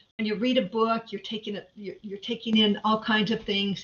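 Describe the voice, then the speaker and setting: A somewhat breathy woman talks at a fairly quick pace and a fairly high pitch. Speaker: conference presenter. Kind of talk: lecture. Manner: fast.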